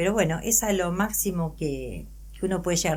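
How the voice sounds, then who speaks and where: A woman is heard with audible room echo around her voice. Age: 60s. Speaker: adoptee and psychologist. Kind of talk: interview testimony.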